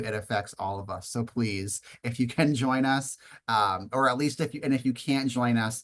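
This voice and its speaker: A man speaks at a medium pitch with fairly even intonation over a quiet background. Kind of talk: webinar presentation. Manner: fast.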